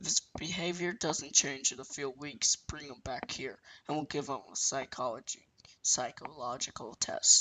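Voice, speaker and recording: Putting on a character voice, a man speaks at a moderate pace in a raspy, fairly high pitch. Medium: read story. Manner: calm, professional.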